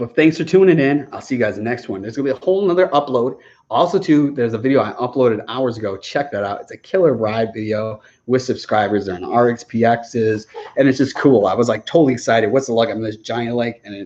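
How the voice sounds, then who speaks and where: Racing at a very fast pace, a man with an animated tone shows big swings in loudness and ordinary pitch variation. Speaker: jet ski youtuber. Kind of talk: livestream Q&A chat. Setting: outdoors.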